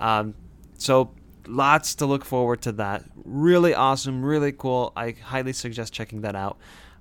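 A man at a moderate pace, a plain, everyday voice, medium in pitch. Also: ordinary pitch variation, very clean recording, silent background. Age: 20s. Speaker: podcast host. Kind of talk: casual chat.

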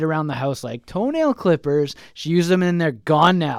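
This man has a Manitoban accent and a high pitch, with ordinary pitch variation. He speaks at a fairly quick pace on a very clean recording with a silent background. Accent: Canadian (Manitoba). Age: 30s. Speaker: sports podcast host. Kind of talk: casual chat.

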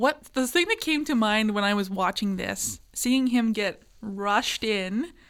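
The recording is very clean, with a silent background. A woman uses an ordinary speaking voice, fairly high in pitch with lively intonation. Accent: Canadian. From rural Manitoba, Canada. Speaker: student podcast co-host. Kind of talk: casual chat. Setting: studio.

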